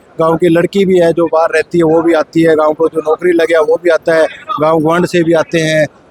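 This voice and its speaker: With a high pitch and monotone, flat intonation, a man speaks at a moderate pace, with very even loudness and hardly any pauses, in a dry, close sound with no echo and noticeable background noise. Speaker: village head. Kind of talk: interview.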